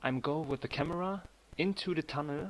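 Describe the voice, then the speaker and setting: Recorded very cleanly against a silent background, a man with a German accent speaks at a moderate pace. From Germany. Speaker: 3D animator streamer. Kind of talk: live stream tutorial chat. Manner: halting.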